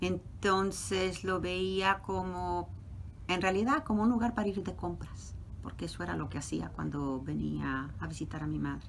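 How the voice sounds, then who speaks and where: A woman talks fairly slowly, and audible room echo follows her words. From Mexico City. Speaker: professor. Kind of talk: interview.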